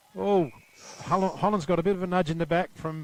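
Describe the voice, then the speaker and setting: The speech comes at a very fast pace. Background noise is noticeable. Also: man. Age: 60s. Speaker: football commentator. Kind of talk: live commentary.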